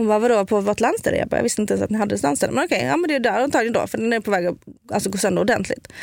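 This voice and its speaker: A woman with a Scanian accent at a very fast pace, on a very clean recording with a silent background. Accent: Scanian Swedish. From southern Sweden (Skåne). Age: 30s. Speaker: food influencer and medium. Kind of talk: casual chat. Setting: studio.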